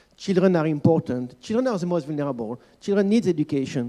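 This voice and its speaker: This man, speaking with a French accent, has a fairly high pitch and a dark, mellow tone. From France. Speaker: panel expert, children's rights organization staff. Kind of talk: panel discussion. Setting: conference panel. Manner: hesitant, many fillers.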